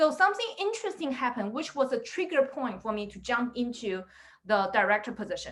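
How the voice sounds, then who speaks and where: A woman talks at a fairly quick pace in a high pitch, with a non-native accent. Her pitch swings very widely and her loudness shifts a lot. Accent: foreign accent in English. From immigrant to the US, non-native English speaker. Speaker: product director and career coach. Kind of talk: webinar talk. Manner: animated, filler-heavy.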